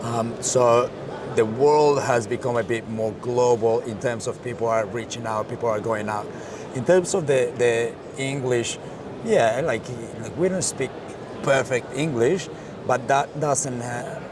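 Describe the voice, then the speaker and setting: A man with a Colombian accent speaks over noticeable background noise. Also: medium pitch for a man, ordinary pitch variation, fairly slow pace. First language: Spanish. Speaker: marketing director. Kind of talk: interview.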